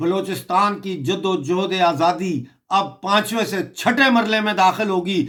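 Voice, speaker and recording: This man's voice has a bright, sharp tone. Its pitch variation is ordinary. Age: 60s. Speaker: political commentator. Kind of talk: political video commentary. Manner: impassioned.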